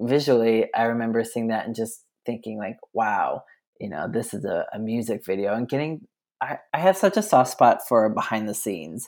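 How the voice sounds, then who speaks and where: Using a normal speaking voice, a man with an American accent talks at medium pitch with ordinary pitch variation. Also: moderate pace, very clean recording, silent background. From US, rural eastern Colorado. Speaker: podcast guest, fan. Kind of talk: casual chat.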